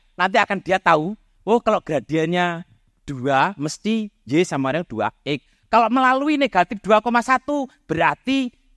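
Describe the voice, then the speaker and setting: With very wide pitch swings, a man talks at a moderate pace on a very clean recording with a silent background and a dry, close sound with no echo. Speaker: mathematics professor. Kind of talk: public talk. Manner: loud.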